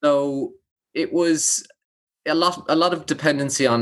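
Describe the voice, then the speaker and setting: A man with an Irish accent on a very clean recording with a silent background. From Ireland. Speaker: public speaker and founder. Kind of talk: casual interview.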